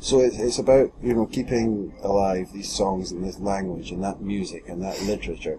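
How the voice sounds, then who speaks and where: A man with a Scottish accent speaks at a fairly low pitch with fairly even intonation and hardly any pauses. Noticeable background noise sits behind him. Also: moderate pace. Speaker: podcast host. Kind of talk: casual chat.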